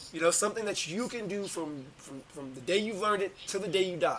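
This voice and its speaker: Fairly quick, raised and projected delivery with lively intonation. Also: man. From Washington, D.C. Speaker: former professional basketball player. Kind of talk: casual interview.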